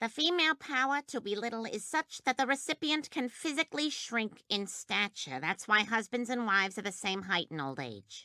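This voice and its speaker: A female-sounding, cartoonish character voice with fairly high pitch moves at a moderate pace with hardly any pauses. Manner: crisp and cutting.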